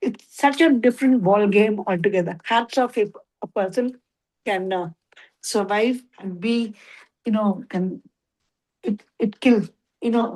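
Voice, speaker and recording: The speech moves at a fairly slow pace with long, frequent pauses and ordinary pitch variation. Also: woman, fairly high pitch for a woman. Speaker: devotee participant in scripture class. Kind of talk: casual discussion. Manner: loud; halting, code-switching Hindi-English.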